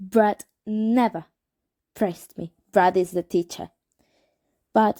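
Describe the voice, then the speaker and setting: Speaking very slowly with a Spanish accent, a woman has a medium pitch, a dark, mellow tone and ordinary pitch variation. The recording is very clean, with a silent background. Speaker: amateur reader. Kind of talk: reading aloud. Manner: halting; normal voice, not whispered.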